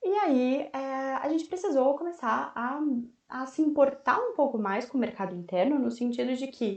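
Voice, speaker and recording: Against a quiet background, a woman speaks in a high voice with very wide pitch swings. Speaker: volunteer history teacher. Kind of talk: online lecture. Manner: fast; casual, slangy.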